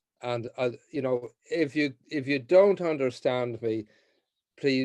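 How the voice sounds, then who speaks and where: A man speaks at a fairly slow pace and medium pitch, with ordinary pitch variation. The sound is dry and close, with no echo. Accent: Irish. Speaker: mediator and trainer. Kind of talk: training session. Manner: hesitant, many fillers and repeats.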